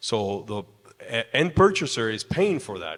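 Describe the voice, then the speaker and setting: A man with a Spanish accent speaks at a fairly slow pace. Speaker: construction industry representative, panelist. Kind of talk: panel discussion.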